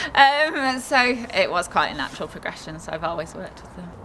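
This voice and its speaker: A woman talks with a Yorkshire accent and lively intonation over noticeable background noise. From Yorkshire, northern England. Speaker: equine vet. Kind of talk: interview.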